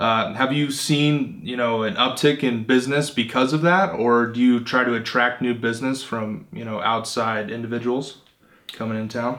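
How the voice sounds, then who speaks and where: Here a man talks at medium pitch and a moderate pace. He has a plain, everyday voice with ordinary pitch variation. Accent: American. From Phoenix, Arizona. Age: 20s. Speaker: podcast host interviewing entrepreneurs. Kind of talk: interview.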